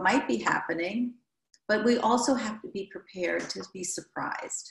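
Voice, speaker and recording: A woman with an American accent speaks fairly slowly, somewhat breathy, with lively intonation. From US Midwest. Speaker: therapist and trainer. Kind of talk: interview conversation.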